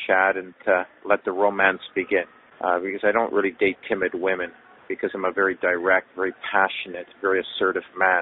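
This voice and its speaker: A man speaks in a plain, everyday voice at a moderate pace and a fairly low pitch. The sound is dry with no echo, and there is light background noise. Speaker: caller. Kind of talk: voicemail message. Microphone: phone line.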